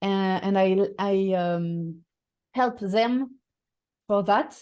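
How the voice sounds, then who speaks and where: Over a quiet background, a strong French accent comes through in a dark, mellow tone. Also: woman. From France. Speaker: voice and communication coach. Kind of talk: interview. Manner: halting, many fillers and repetitions.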